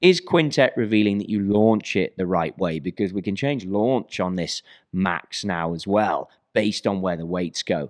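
A man in a normal speaking voice, fairly low in pitch, at a moderate pace with ordinary pitch variation, dry and close with no echo on a very clean recording with a silent background. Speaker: golf equipment specialist. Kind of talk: casual interview.

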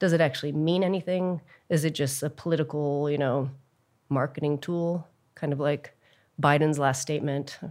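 In an American accent, a woman with a very deep, low pitch speaks in a monotone, flat way at a moderate pace, on a very clean recording with a silent background. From Texas. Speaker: documentary filmmaker. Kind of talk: interview.

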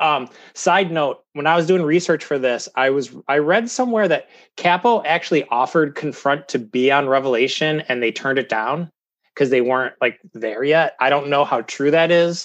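A man with an Ohio accent speaks at a fairly high pitch with ordinary pitch variation. The background is quiet. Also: moderate pace. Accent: Midwestern American (Ohio). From US Midwest, Cleveland, Ohio. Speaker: podcast guest, hardcore music fan. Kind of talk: casual chat.

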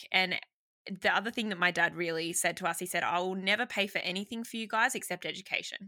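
The speech runs at a very fast pace with a bright, sharp tone. Intonation is fairly even, and the recording is very clean with a silent background. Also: woman, medium pitch for a woman. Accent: Australian. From Sydney, Australia. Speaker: marketing business founder. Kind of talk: casual interview chat.

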